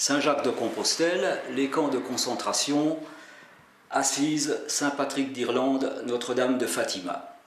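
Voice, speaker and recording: Over noticeable background noise and audible room echo, a man with a fairly high pitch talks at a fairly slow pace. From Alsace, France. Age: 60s. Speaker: pilgrim and religious video maker. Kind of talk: scripted narration. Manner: formal.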